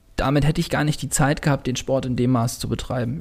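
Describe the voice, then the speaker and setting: A somewhat breathy man at a fairly quick pace, with ordinary pitch variation. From northern Germany, Baltic coast. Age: 20s. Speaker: sport shooter. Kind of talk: interview. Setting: podcast room in a gym.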